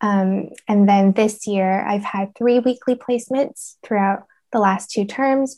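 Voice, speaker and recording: At a fairly slow pace, a woman with a Canadian accent speaks at a medium pitch with a dark, mellow tone and fairly even intonation. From Canada, Vancouver. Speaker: speech therapy student. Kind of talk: interview.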